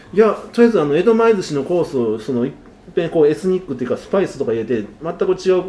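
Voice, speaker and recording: A high-pitched man with a dark, mellow tone talks at a very fast pace. His pitch swings very widely, and his loudness swings a lot. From Osaka. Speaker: sushi chef and restaurant owner. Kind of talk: interview.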